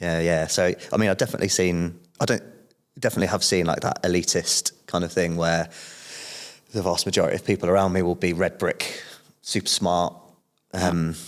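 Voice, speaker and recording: With a very deep, low pitch and monotone, flat intonation, a man talks at a fairly quick pace but leaves long, frequent pauses. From southern England, Portsmouth. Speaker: podcast guest, businessman. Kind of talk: casual interview chat.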